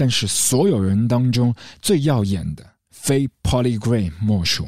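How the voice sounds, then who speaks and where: A man's unremarkable speaking voice with lively intonation. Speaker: podcast host discussing film music. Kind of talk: scripted solo narration. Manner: reflective, measured delivery.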